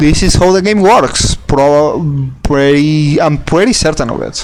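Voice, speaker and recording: Audible room echo surrounds a man speaking at a fairly slow pace and a fairly high pitch with ordinary pitch variation. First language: not English. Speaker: gaming video creator. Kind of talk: gameplay tutorial. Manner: halting, many restarts and repetitions; casual, swears.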